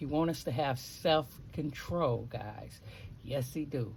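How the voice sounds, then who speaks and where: A woman talks very slowly with vocal fry. Her pitch is very deep and low, with ordinary variation. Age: 60s. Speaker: lifestyle vlogger. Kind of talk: casual vlog talk with short inspirational message.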